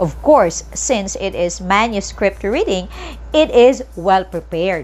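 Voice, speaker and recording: Noticeable background noise runs behind a woman who talks at a fairly slow pace. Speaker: teacher. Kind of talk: lecture.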